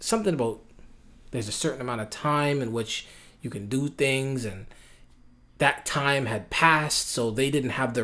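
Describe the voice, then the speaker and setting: Loud and at a moderate pace, a man speaks with a medium pitch and a bright, sharp tone. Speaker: MMA betting commentator. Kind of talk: casual vlog commentary. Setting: home, with sleeping baby nearby. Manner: casual, rambling speech with many fillers.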